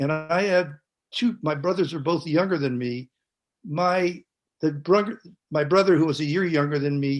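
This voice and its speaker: A man with a Californian accent, fairly high in pitch with ordinary pitch variation, at a moderate pace with long, frequent pauses. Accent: General American, Californian. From US West Coast, San Francisco Bay Area. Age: 70s. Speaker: panelist. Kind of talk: testimony. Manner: halting.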